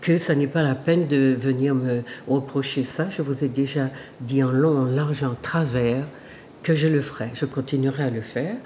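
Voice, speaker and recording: Against noticeable background noise, a woman with a very deep, low pitch talks at a moderate pace with ordinary pitch variation. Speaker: sociologist and talk show host. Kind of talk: monologue to viewers. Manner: halting.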